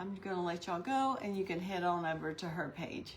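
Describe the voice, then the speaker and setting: Audible room echo surrounds a woman speaking at a medium pitch and a moderate pace. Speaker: craft livestream host. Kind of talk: live demonstration. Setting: online livestream. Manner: gets quiet when concentrating.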